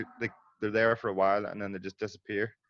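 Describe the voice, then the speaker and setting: Very fast and monotone, with flat intonation, a man in a Northern Irish accent speaks at a fairly low pitch with a dry, close sound and no echo. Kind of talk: casual chat.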